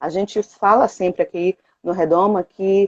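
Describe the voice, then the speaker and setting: The tone is dark and mellow at a fairly slow pace. The sound is dry and close, with no echo. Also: woman. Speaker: productivity coach and co-host of a live. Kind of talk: live stream talk. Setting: online live stream.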